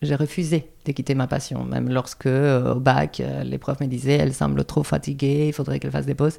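Talking at a fairly quick pace, a woman speaks with a Spanish accent. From Andalusia, Spain. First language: Spanish (speaking French). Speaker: dance teacher. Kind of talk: interview.

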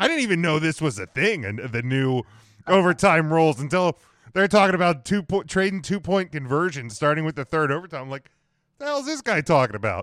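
A man with an unremarkable speaking voice talks at a fairly quick pace, fairly high in pitch and with lively intonation. The recording is very clean, with a silent background and a dry, close sound with no echo. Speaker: sports podcast host. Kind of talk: sports talk show discussion.

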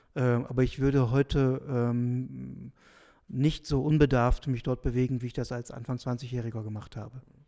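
Speaking at a moderate pace, a man with a medium pitch and a dark, mellow tone keeps a monotone, flat intonation on a very clean recording with a silent background. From northwestern Germany, Südoldenburg region. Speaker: pastoral sociologist and theology professor. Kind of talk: interview. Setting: office at his institute after hours.

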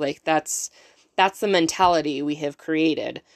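A woman with an ordinary speaking voice, fairly low in pitch, at a moderate pace and fairly even intonation, in a dry, close sound with no echo. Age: 30s. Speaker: podcast host. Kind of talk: solo motivational podcast talk. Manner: casual with frequent fillers.

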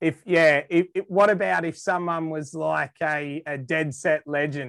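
A fairly slow, fairly high-pitched man with an Australian accent and ordinary pitch variation, in a dry, close sound with no echo. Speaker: Australian guest explaining slang. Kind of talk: casual chat. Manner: animated.

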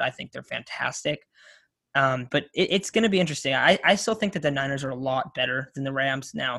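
A man's fairly high voice with a bright, sharp tone, fairly quick delivery, and an American accent. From Coachella Valley, Southern California. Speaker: podcast host, college student. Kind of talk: casual chat.

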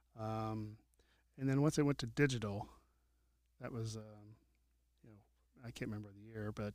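At a moderate pace, a man with an American accent talks with fairly even intonation on a very clean recording with a silent background. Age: 50s. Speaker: lighting technician. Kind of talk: casual chat.

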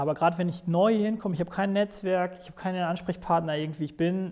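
A man talks at a very fast pace in a high pitch with fairly even intonation. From Sauerland. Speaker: tenant activist. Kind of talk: interview.

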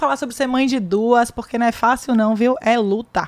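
At a fairly quick pace, a woman talks in a fairly high pitch with an unremarkable speaking voice. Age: 30s. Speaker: podcast host, lawyer. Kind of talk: casual chat.

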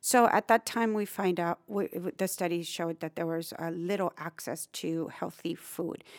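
A woman with a South Texas accent speaks at a fairly low pitch and moderate pace. The recording is very clean, with a silent background and a dry, close sound with no echo. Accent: South Texas Mexican-American English. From Brownsville, Texas (US-Mexico border). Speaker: nonprofit executive director. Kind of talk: interview.

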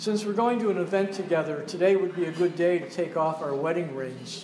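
Audible room echo and noticeable background noise surround a man's voice. He speaks at a high pitch with ordinary pitch variation. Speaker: poet reading at open mic. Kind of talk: reading aloud. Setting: cafe with audience.

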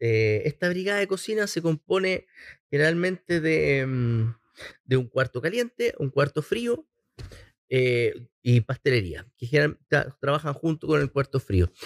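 A man speaks in a Chilean accent at a fairly slow pace and a fairly high pitch. His pitch swings very widely, and the sound is dry and close with no echo. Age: 40s. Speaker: chef and entrepreneur. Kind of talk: casual interview.

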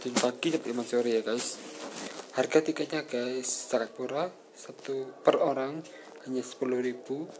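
Amid noticeable background noise, a man at medium pitch speaks fairly slowly with fairly even intonation and long, frequent pauses. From Malang, East Java, Indonesia. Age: 20s. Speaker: podcaster. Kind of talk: travel review reading. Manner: halting.

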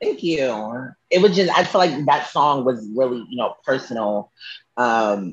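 With a plain, everyday voice, a man speaks at a fairly slow pace in a medium pitch, his intonation lively. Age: 20s. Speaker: singer. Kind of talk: casual chat. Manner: casual, with many fillers.

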